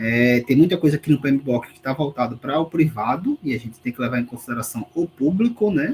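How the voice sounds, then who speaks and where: Talking at a fairly quick pace, a man shows ordinary pitch variation. The voice sounds somewhat breathy. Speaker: university lecturer. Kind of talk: online lecture, exam review.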